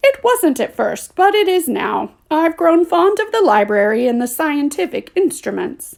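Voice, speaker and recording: A woman uses a put-on character voice at an extremely high pitch with very wide pitch swings. She keeps a moderate pace with hardly any pauses. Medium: read story. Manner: well-spoken, curt.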